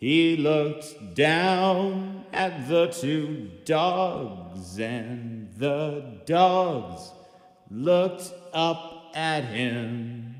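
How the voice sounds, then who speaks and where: In a put-on character voice, a man speaks very slowly at a fairly high pitch, with a clear echo around him. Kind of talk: performance poetry, spoken word. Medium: stage play. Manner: rhythmic, repetitive, deadpan.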